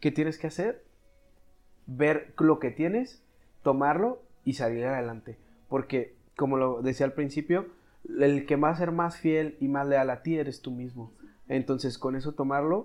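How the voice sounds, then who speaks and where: Long, frequent pauses from a fairly high-pitched man speaking fairly slowly, with ordinary pitch variation. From Mexico, Chihuahua. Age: 20s. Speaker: doctor in medical specialty training. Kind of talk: casual chat.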